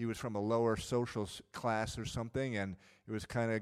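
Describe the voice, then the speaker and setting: A man with a normal speaking voice talks at a moderate pace in a medium pitch. His intonation is fairly even, and the sound is dry and close with no echo. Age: 50s. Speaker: pastor. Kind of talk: sermon.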